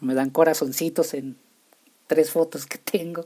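The voice has a dark, mellow tone. It carries a northern Mexican accent. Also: man. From Mexico, Chihuahua. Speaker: podcast host. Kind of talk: casual solo podcast monologue. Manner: halting, many repetitions.

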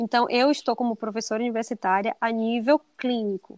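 In a quiet background with a dry, close sound and no echo, a woman with a plain, everyday voice and a fairly high pitch speaks at a moderate pace. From Bahia, Brazil. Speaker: dentist and teacher. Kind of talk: casual interview.

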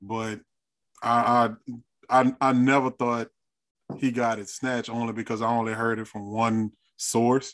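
On a very clean recording with a silent background, a man at medium pitch talks at a fairly slow pace in a monotone, flat intonation, leaving long, frequent pauses, and the sound is dry and close with no echo. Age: 40s. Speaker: podcast panelist. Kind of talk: casual chat.

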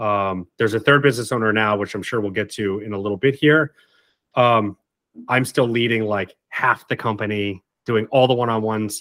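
A plain, everyday voice moves at a fairly quick pace with fairly even intonation, recorded very cleanly with a silent background and a dry, close sound with no echo. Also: man, fairly low pitch for a man. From Martha's Vineyard, Massachusetts. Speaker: branding agency co-founder and CEO. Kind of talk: casual interview.

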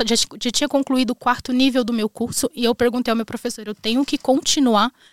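This woman has a high-pitched voice and talks very fast. Her pitch rises and falls in an ordinary way. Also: dry, close sound with no echo. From Brazil, northwestern Paraná. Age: 20s. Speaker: immigrant entrepreneur, makeup artist. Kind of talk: casual chat.

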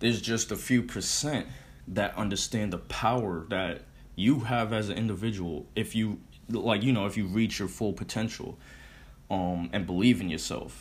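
Here is a man with an American accent and a fairly low pitch. He talks at a moderate pace with ordinary pitch variation. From Connecticut, US. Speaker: podcast host. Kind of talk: solo podcast monologue. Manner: casual, filler-heavy, motivational.

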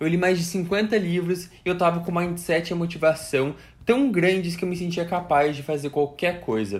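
At a moderate pace, a man with a high voice talks in an animated tone with ordinary pitch variation. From Brazil, Curitiba (Paraná). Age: 20s. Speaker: student and content creator. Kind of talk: personal story monologue.

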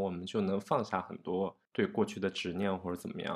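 An ordinary speaking voice comes from a man with a fairly low pitch talking at a fairly quick pace over a quiet background. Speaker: podcast host. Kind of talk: casual chat.

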